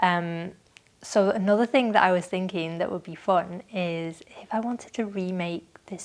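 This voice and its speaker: A woman speaks at a moderate pace and a medium pitch, with fairly even intonation. Her loudness swings widely in a very clean recording with a silent background. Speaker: knitting podcaster. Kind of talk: casual monologue.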